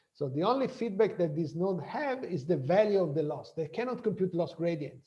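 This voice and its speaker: A man's high pitch with a dark, mellow tone, lively intonation and a moderate pace, amid audible room echo. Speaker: professor. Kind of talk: lecture. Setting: video call.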